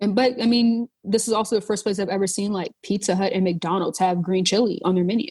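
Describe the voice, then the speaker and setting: At a very fast pace with hardly any pauses, a woman speaks with an American accent. Her medium-pitched voice is somewhat breathy, with fairly even intonation. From North Charleston, South Carolina. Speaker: chef and food writer. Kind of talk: podcast interview answer, casual.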